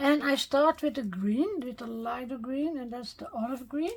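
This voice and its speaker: A woman with a Dutch accent speaks at a high pitch with ordinary pitch variation. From Netherlands. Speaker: card-making crafter. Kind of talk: tutorial. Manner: halting, with fillers.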